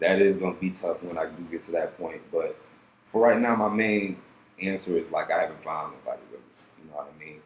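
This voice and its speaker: A man talks at a fairly quick pace, his loudness swinging widely. Background noise is noticeable. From Detroit, Michigan. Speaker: rapper. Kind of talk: casual podcast interview.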